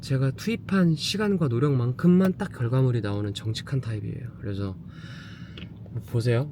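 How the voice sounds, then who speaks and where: Somewhat breathy and dark, mellow in tone, a man speaks at a medium pitch and moderate pace with lively intonation. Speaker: home shopping show host. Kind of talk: casual vlog narration.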